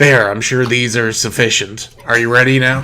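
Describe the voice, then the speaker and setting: A man's gravelly, put-on character voice at medium pitch, moderate pace and monotone, flat intonation. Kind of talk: scuffed Batman-like growl. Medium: actual play. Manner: cold, commanding.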